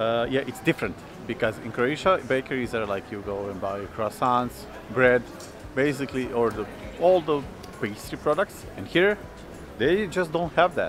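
Faint music plays in the background as a man speaks with long, frequent pauses, the sound dry with no echo. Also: moderate pace. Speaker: vlogger. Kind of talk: casual vlog chat. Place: street. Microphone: phone near.

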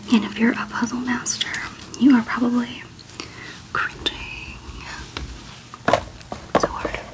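The speaker whispers with long, frequent pauses, keeping a fairly slow pace. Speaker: ASMR creator. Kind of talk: ASMR jigsaw puzzle session. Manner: whispered, soft-spoken.

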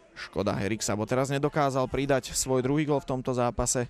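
Over noticeable background noise, a man talks in an animated tone at a fairly quick pace. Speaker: football commentator. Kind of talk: live sports commentary, play-by-play over match footage. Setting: studio voiceover over match highlights. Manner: animated, fast play-by-play delivery; informative, naming players and minutes rapidly.

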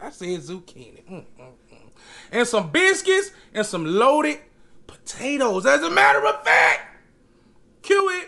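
A man talks at a moderate pace, leaving long, frequent pauses as his loudness swings widely. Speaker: food vlogger. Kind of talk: casual vlog chat. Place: home room.

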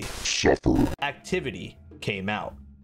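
Using a put-on character voice, a man speaks fairly slowly at a fairly high pitch, with faint music in the background. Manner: menacing.

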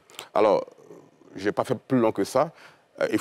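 The man talks at a fairly quick pace, and the sound is dry with no echo. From Côte d'Ivoire. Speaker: journalist and politician; guest, politician-journalist. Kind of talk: televised panel debate. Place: studio. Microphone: lapel.

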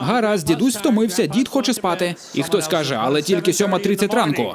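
Over noticeable background noise, a high-pitched man talks fairly quickly with lively intonation and very even loudness. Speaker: voice-over artist. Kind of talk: stand-up comedy dub. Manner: comedic, crude. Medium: dub.

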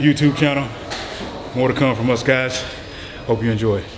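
At a moderate pace, a man speaks in a monotone with flat intonation over noticeable background noise. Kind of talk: casual vlog chat. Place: gym.

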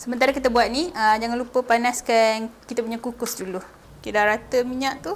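A woman talks at a fairly quick pace with a high pitch and fairly even intonation. Noticeable background noise runs under her voice. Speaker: cooking video host. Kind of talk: cooking tutorial. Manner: casual.

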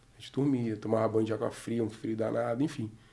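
A dark, mellow tone at a fairly quick pace against a quiet background. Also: man. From Brazil, Rio de Janeiro state (Araruama); Rio de Janeiro state, Brazil. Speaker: former footballer and football coach; football coach. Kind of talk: testimony. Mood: relaxed, earnest testimony. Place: studio. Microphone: studio mic.

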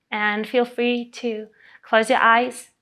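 A woman speaks very slowly in a high, flat monotone. Faint music plays in the background. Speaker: breathwork instructor. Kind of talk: guided breathing instruction. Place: home room.

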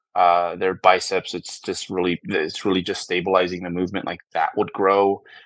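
With a fairly low pitch, a man talks at a moderate pace in a dry recording with no echo and a quiet background. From US, San Francisco. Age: 40s. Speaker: bodybuilding coach. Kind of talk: interview. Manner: halting, many fillers and repeats. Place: home room. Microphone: earbuds.

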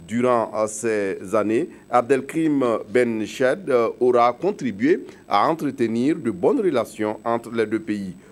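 The pace is very slow. A man talks with lively intonation. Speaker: news anchor. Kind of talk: news reading. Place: studio.

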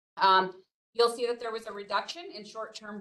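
Her voice has a bright, sharp tone. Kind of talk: presentation. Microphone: video call.

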